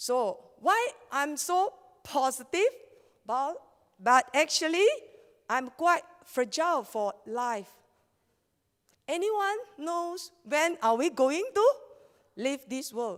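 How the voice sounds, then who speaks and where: A woman's high voice in a Malaysian accent, very slow, with long, frequent pauses and very wide pitch swings. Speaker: network marketing leader and scientific researcher. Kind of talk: motivational seminar talk.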